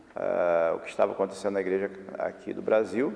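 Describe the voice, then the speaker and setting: A man at a moderate pace with noticeable background noise. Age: 60s. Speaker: bishop. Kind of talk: documentary interview.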